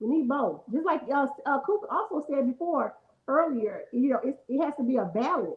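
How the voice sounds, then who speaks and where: A woman talks with a high pitch and lively intonation. Her loudness stays very even. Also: moderate pace. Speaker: podcast co-host. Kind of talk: casual chat.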